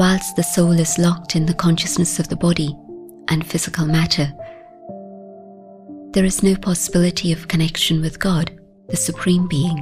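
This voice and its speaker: Over music in the background, a woman with a fairly low pitch speaks at a moderate pace, with long, frequent pauses, very even loudness and ordinary pitch variation. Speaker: spiritual teacher, meditation guide. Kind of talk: guided meditation commentary.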